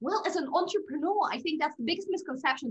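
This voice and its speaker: Her pitch swings very widely as the woman speaks. The background stays quiet. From Russia. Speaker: podcast guest. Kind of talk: interview. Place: home room. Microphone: video call.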